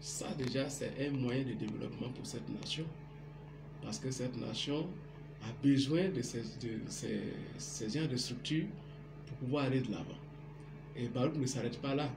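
Background noise is noticeable as a man speaks. His intonation is fairly even, with long, frequent pauses. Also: fairly slow pace. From Guinea, forest region (Macenta). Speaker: computer technician. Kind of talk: on-camera interview. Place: home room. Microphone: phone near.

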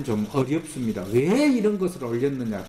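In a space with audible room echo and light background noise, a man talks at a fairly slow pace. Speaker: history professor. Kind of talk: interview. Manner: halting. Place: studio.

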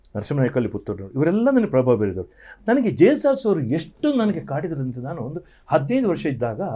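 A man with vocal fry, fairly high pitch, very wide pitch swings and a dark, mellow tone. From coastal Karnataka, Dakshina Kannada (Sullia); Karnataka. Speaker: singer; guest. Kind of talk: interview. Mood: reflective, animated storytelling. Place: studio. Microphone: lapel.

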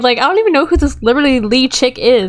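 This woman's voice sits high in pitch and carries an animated tone at a very fast pace. There is noticeable background noise. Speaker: gaming YouTuber. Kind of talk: casual gameplay commentary. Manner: animated, chatty.

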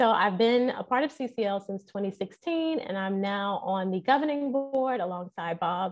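This woman's intonation is lively, and the background is quiet. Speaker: guest. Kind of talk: interview answer. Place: home room. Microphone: earbuds.

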